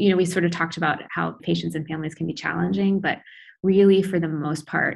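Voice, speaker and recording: Fairly even in intonation, a woman with an American accent speaks with vocal fry. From US Midwest, Iowa City. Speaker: pediatric intensive care doctor. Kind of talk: interview, casual.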